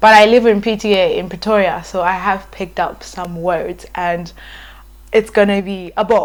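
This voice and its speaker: Monotone, flat delivery in a South African accent at a moderate pace. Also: woman, medium pitch for a woman. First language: Ndebele. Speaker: YouTuber. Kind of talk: casual vlog talk. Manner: hesitant, many fillers.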